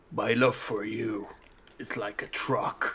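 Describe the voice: A man uses a put-on character voice that is raspy and medium in pitch. He goes at a fairly slow pace.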